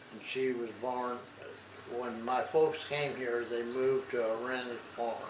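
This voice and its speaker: Amid audible room echo and noticeable background noise, a man talks at a fairly slow pace and medium pitch with monotone, flat intonation. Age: 90s. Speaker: retired dairy farmer. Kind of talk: oral history interview. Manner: halting, hesitant.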